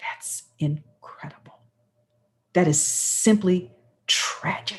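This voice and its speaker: A woman's somewhat breathy voice with an animated tone. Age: 60s. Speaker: radio talk show host. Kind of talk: talk radio panel introduction.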